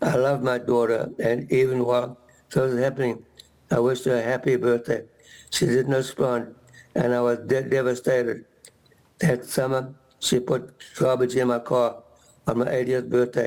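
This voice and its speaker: A man speaks at a medium pitch in a monotone, flat intonation, his loudness very even. Long, frequent pauses break up his speech. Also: moderate pace. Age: 80s+. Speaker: legal aid client giving testimony. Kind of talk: testimony read aloud at public hearing. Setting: public hearing room. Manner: halting, with repeated words and restarts.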